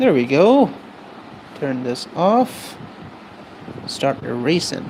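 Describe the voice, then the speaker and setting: Very slow speech amid noticeable background noise. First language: not English. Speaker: streaming artist. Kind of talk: casual live-stream chat while drawing. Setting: live stream.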